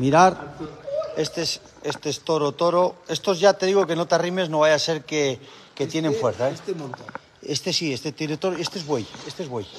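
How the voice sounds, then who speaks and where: A fairly high-pitched male voice, with ordinary pitch variation and a fairly quick pace, comes through noticeable background noise. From Cantabria, Spain. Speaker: cattle farmer. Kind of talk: livestream chat. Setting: outdoors. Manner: animated. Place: farm machine. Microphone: phone near.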